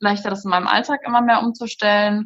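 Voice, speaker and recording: Her pitch medium and her voice somewhat breathy, a woman moves at a fairly quick pace with monotone, flat intonation. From Germany, Rhein-Sieg district. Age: 20s. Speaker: food blogger. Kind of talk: casual interview.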